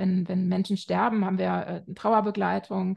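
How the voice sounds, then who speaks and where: Her voice is medium in pitch, somewhat breathy, with a dark, mellow tone and a moderate pace. The sound is dry and close with no echo, over a quiet background. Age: 40s. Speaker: family counselor and author. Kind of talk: interview. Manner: hesitant, many filler sounds.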